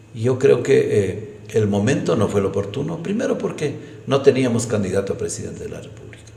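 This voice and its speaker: A man at a medium pitch and fairly quick pace, lively intonation and big swings in loudness, with audible room echo and noticeable background noise. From Ecuador, Imbabura (San Antonio de Ibarra). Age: 60s. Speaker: politician. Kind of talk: interview.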